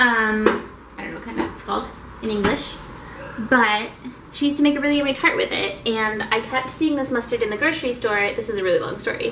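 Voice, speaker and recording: A woman with an American accent, fairly high pitch and ordinary pitch variation, animated and very fast, amid noticeable background noise. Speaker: vlogger. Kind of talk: casual vlog talk.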